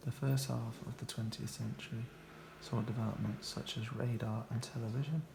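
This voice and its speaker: Soft-spoken and carrying vocal fry, a man talks at a moderate pace and medium pitch with ordinary pitch variation. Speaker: ASMR reader of technical books. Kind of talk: ASMR book reading, relaxing and informative.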